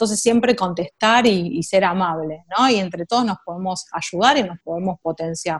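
A woman speaks with a Rioplatense accent at a medium pitch. The sound is dry and close, with no echo. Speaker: tech marketing professional. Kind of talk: interview.

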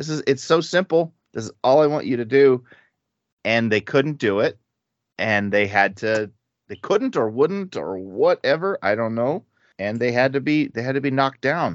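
Speaking at a moderate pace, a man with an unremarkable speaking voice uses lively intonation at a medium pitch. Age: 50s. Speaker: podcast host leading Bible study. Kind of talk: casual Bible study discussion.

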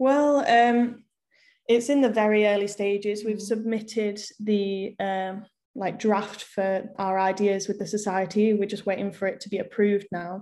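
On a very clean recording with a silent background, a woman with an English accent speaks at a moderate pace in a dark, mellow tone with fairly even intonation. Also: medium pitch for a woman. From England, small town. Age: 20s. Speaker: university student, activist. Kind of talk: casual chat.

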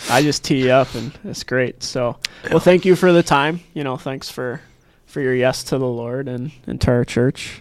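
A man with an American accent has an ordinary speaking voice, medium in pitch with ordinary pitch variation, talking at a moderate pace with big swings in loudness. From Nebraska. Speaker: podcast host. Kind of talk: scripted outro; casual chat. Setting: studio.

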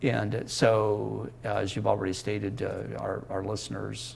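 At a fairly slow pace, a voice with an American accent comes through audible room echo. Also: man. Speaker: Mennonite educator and essayist. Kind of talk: interview. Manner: halting.

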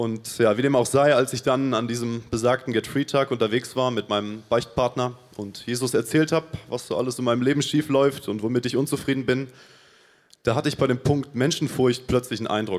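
This man has a plain, everyday voice at a medium pitch. He talks at a fairly quick pace with fairly even intonation. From Paraguay. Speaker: church volunteer. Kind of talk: testimony.

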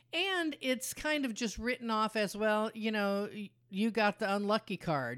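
A woman speaks at a moderate pace with lively intonation, medium pitch and an ordinary speaking voice. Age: 60s. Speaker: podcast co-host, patient's mother. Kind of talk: casual chat.

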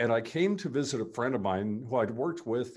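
A man's medium-pitched voice with vocal fry and very wide pitch swings. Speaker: retired radio host. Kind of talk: casual interview. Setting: video call. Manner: animated.

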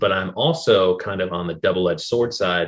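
With an American accent and an unremarkable speaking voice, a man talks at a fairly quick pace, his pitch fairly low with ordinary variation. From Seattle area, then Detroit. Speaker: podcast host. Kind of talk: casual interview chat.

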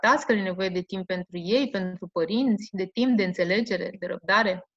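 A woman at a medium pitch talks at a fairly slow pace with ordinary pitch variation, in a dry, close sound with no echo. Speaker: school principal. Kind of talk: interview. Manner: hesitant, with fillers.

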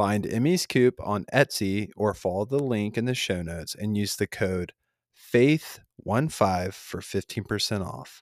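A man with an unremarkable speaking voice talks at a fairly low pitch and a fairly slow pace, with ordinary pitch variation. The very clean recording has a silent background and a dry, close sound with no echo. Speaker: podcast host, Air Force member. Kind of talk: casual interview chat.

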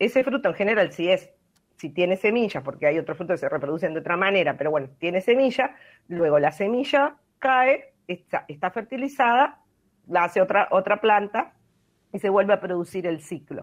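A woman talks at a moderate pace in a medium pitch. Her pitch swings very widely. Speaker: environmental science expert, weekly radio segment. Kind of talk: explanatory talk on radio.

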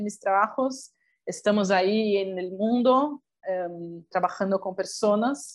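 Speech comes at a very slow pace in a Portuguese accent. Pitch variation is ordinary. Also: woman. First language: Portuguese (speaking Spanish). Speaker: documentary filmmaker. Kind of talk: interview.

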